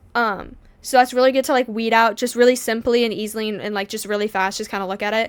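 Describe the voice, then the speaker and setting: On a very clean recording with a silent background, a woman talks at a very fast pace with a fairly high pitch and fairly even intonation. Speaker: reaction video creator; grocery store worker. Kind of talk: casual chat. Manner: stumbling over words.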